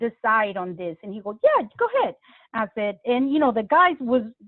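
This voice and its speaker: A woman with a Spanish accent speaks in a high pitch. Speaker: pastor. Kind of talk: interview.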